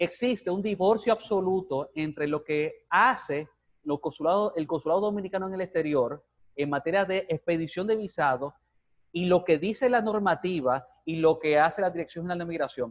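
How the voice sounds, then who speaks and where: Speaking with a high pitch, a man lets his voice rise and fall a normal amount. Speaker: lawyer, former ombudsman office director. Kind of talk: TV interview. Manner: fast.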